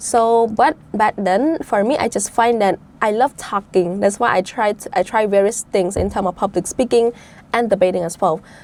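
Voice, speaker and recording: A woman with a Cambodian accent speaks at a moderate pace and medium pitch, with ordinary pitch variation. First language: Khmer. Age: 20s. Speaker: debate champion, budget analyst. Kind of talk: interview.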